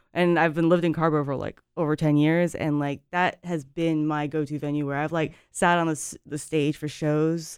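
Flat, monotone intonation moves at a fairly quick pace over a very clean recording with a silent background. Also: woman. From Japan. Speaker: punk musician. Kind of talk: casual chat. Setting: studio.

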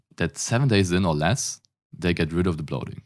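A man with a German accent talks at a moderate pace in a very deep, low pitch. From Germany. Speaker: fitness coach. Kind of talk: interview conversation.

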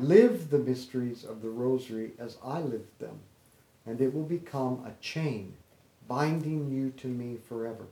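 At a moderate pace, a man with a plain, everyday voice talks in a medium pitch that varies in an ordinary way. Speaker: rosary leader. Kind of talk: guided rosary prayer and meditation. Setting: home gathering with friends after a birthday party. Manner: fervent, devout, praying in a steady rhythmic cadence.

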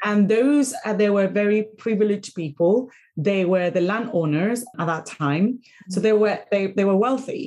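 In a Spanish accent, a woman speaks at a medium pitch and a moderate pace with a dark, mellow tone and ordinary pitch variation. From Venezuela, Caracas. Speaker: podcast host and career coach. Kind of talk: interview.

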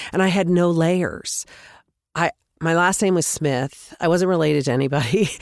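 An unremarkable speaking voice with an American accent, a moderate pace, ordinary pitch variation and very even loudness. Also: woman, fairly low pitch for a woman. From US West. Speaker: podcast host. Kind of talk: casual interview.

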